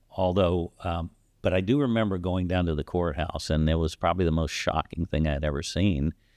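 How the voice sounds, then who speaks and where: With an American accent, a man speaks at a fairly quick pace in a very deep, low pitch. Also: ordinary pitch variation. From Texas, Corpus Christi. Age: 60s. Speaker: podcast host. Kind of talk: casual chat.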